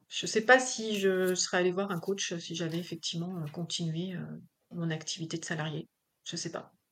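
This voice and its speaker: A woman speaks at a moderate pace in a fairly low voice, her intonation fairly even. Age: 40s. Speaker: business owner. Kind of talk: interview. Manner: hesitant, many fillers.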